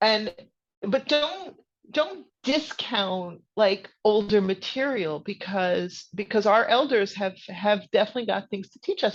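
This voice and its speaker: With an American accent, a woman in an unremarkable speaking voice talks at medium pitch and a moderate pace, her intonation lively, against a quiet background. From US Northeast, New Jersey suburbs. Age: 60s. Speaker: author and witchcraft teacher. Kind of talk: podcast interview.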